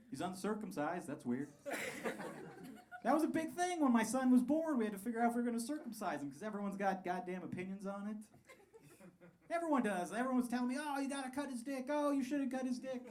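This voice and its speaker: A man with an American accent talks at a very fast pace and an extremely high pitch, with lively intonation and long, frequent pauses. Audible room echo and noticeable background noise are present. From Colorado (Pueblo). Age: 30s. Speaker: stand-up comedian. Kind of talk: stand-up. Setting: stage with audience.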